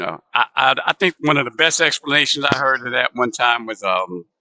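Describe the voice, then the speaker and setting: Lively intonation marks this man's medium-pitched voice at a moderate pace. The sound is dry and close, with no echo. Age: 60s. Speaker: bowling livestream commentator. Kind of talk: live commentary, casual chat. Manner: halting, many false starts and fillers.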